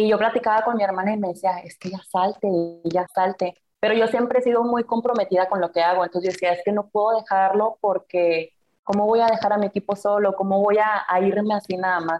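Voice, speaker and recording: In a normal speaking voice, a woman talks at medium pitch and a fairly quick pace with fairly even intonation. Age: 20s. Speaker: student and corporate employee. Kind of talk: casual interview chat.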